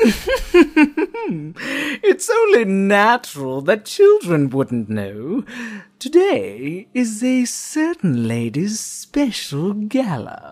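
At a very slow pace, a put-on character voice speaks with a fairly high pitch. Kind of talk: voice acting audition. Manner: calm, polite.

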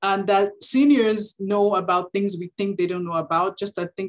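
A woman's voice at a moderate pace. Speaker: webinar presenter. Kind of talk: lecture. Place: home room. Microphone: video call.

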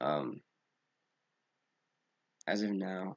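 With vocal fry and a very deep, low pitch, a man speaks in a dry, close recording with no echo. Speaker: gaming YouTuber. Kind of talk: casual gameplay commentary. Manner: hesitant, many fillers.

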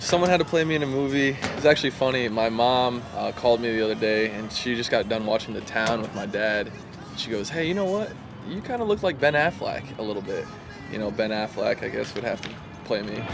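Over music in the background, the speech runs at a very fast pace with a dry sound and no echo. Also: man. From Vermont. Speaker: baseball player. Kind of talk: interview answer. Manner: casual. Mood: relaxed, amused. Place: stadium.

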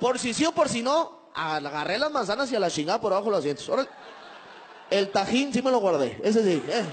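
A man speaks at a high pitch and a very fast pace, his pitch swinging very widely. His tone is animated, with light background noise behind him. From Mexico, Monterrey. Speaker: stand-up comedian. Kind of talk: stand-up. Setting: stage with audience. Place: stage. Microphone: handheld.

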